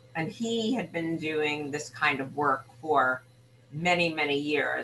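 Against noticeable background noise, a woman with a very deep, low pitch and ordinary pitch variation talks at a fairly slow pace. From Brooklyn, New York City. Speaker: ear, nose and throat doctor. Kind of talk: casual interview.

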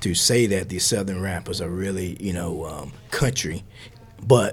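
The pace of this man's speech is moderate. There is a somewhat breathy quality to his voice. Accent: American. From US South. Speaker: professor. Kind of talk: interview. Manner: halting, with fillers and repetitions.

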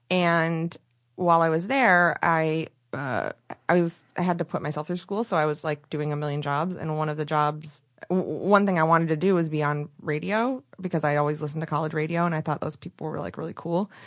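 A woman with an American accent talks at a fairly quick pace. Her pitch is very deep and low, with ordinary variation. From Michigan, rural area near Flint. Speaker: podcast host and radio producer. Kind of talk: casual interview chat. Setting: podcast studio.

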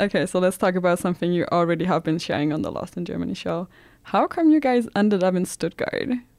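A woman speaks at a very fast pace with a Danish accent. Her pitch is medium, with ordinary variation. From Denmark. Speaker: student podcast host. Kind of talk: casual interview.

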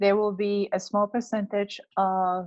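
A woman with a Spanish accent, in a dry, close sound with no echo. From Peru, Lima. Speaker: children's book author and illustrator. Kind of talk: interview.

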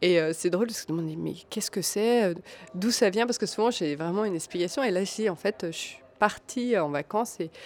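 A woman speaks at a moderate pace. Her pitch sits in the medium range, with ordinary variation. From Alsace, France (small village). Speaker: textile designer and maker. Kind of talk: interview. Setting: café. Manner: hesitant, many fillers.

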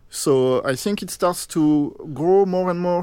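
On a very clean recording with a silent background, a man with a French accent speaks at a fairly slow pace. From France. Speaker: game producer. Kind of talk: interview.

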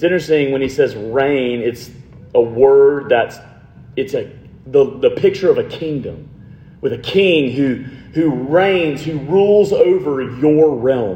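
In a room with audible echo and noticeable background noise, a man with a fairly high pitch speaks at a fairly slow pace. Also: ordinary pitch variation. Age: 30s. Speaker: pastor. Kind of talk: sermon. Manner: casual, conversational.

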